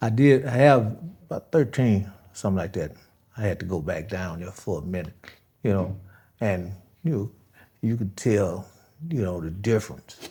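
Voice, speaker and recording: In a very clean recording with a silent background, a man with an American accent speaks at a moderate pace and a fairly low pitch, his dark, mellow, somewhat breathy voice moving with lively intonation and long, frequent pauses. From Chicago West Side, from age 6 (born Mississippi). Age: 70s. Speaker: former gang leader. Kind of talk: interview. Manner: halting.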